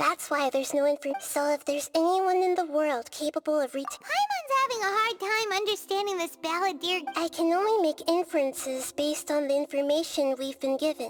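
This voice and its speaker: Over music in the background, a put-on character voice squeaks at an extremely high pitch. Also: fairly quick pace, hardly any pauses. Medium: video game. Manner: calm, explanatory.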